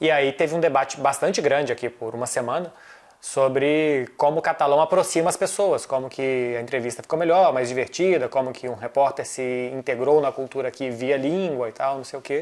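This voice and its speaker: A man with a normal speaking voice talks in a fairly high pitch with ordinary pitch variation. He keeps a fairly quick pace with hardly any pauses. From Brazil. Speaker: football journalist. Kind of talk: casual chat. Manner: fast.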